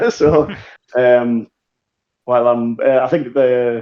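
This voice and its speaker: Ordinary pitch variation marks this dark, mellow voice. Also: man. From northern England, Newcastle. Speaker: tabletop wargaming player. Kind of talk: interview.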